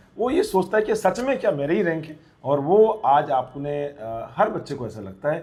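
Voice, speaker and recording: A man talks at a moderate pace in a somewhat breathy voice, his pitch swinging very widely. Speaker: nursing exam coaching teacher interviewing toppers. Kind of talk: interview. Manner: animated.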